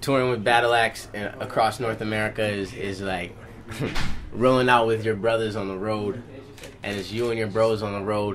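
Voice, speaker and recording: A monotone, flat delivery with audible room echo and noticeable background noise. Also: man, fairly low pitch for a man, moderate pace. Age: 20s. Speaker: rapper. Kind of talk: interview. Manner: casual.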